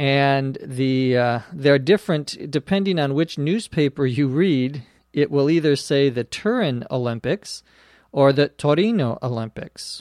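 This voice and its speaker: Recorded very cleanly against a silent background with a dry, close sound and no echo, a man with an American accent and an ordinary speaking voice talks at a fairly slow pace, his fairly high pitch showing ordinary variation. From US Midwest, Minnesota. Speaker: English teacher podcast host. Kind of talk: language lesson. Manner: slow, clear.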